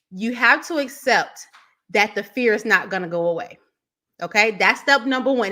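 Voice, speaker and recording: Her bright, sharp tone and fairly high pitch carry lively intonation at a moderate pace as a woman speaks on a very clean recording with a silent background. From Chicago, US Midwest. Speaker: business coach. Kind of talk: live stream tutorial. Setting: live stream. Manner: stumbles over words when excited.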